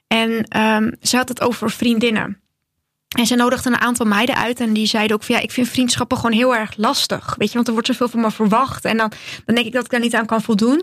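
At a fairly quick pace, a woman with a fairly high pitch speaks in a monotone, flat way, her loudness very even throughout. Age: 20s. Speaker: podcast host, hairstylist. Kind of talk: casual chat.

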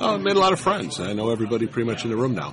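Through audible room echo and noticeable background noise, a man can be heard speaking. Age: 60s. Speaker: retired tournament player. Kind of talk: casual interview.

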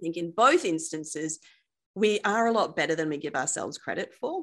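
Her pitch swings very widely. The woman talks at a fairly quick pace. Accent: Australian. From Perth, Western Australia. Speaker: wealth coach. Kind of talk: casual interview chat.

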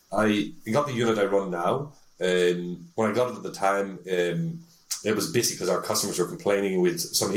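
A man with a Northern Irish accent speaks in a fairly low voice with lively intonation. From Northern Ireland, Belfast. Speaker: tech sales executive. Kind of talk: interview. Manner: hesitant with frequent fillers.

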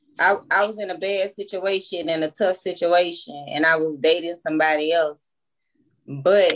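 With a Louisiana accent, a woman speaks at a fairly low pitch with ordinary pitch variation. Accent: US Southern, Louisiana. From Baton Rouge, Louisiana. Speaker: podcast co-host. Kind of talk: casual chat.

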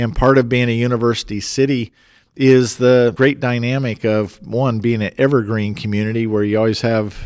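A man speaks at a moderate pace with an American accent. He has a normal speaking voice at a medium pitch. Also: very clean recording, silent background. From Colorado (Fort Collins). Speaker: city mayor and engineering professor. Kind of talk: interview.

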